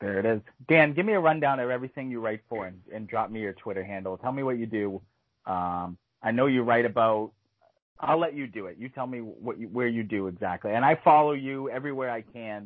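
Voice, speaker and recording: Speaking at a fairly quick pace, a man with a plain, everyday voice keeps a medium pitch and ordinary pitch variation. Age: 30s. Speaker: podcast host. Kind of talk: casual chat.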